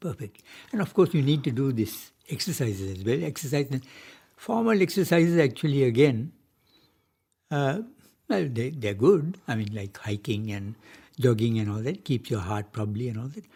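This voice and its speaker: A man's medium-pitched, somewhat breathy voice at a moderate pace, very wide pitch swings, long, frequent pauses. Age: 80s+. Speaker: retired marine engineer and music pioneer. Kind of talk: radio interview.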